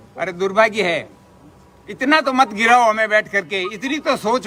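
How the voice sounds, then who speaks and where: A high-pitched man uses a raised, projected voice with lively intonation. Noticeable background noise is present. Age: 70s. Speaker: retired university employee, protest leader. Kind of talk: public speech.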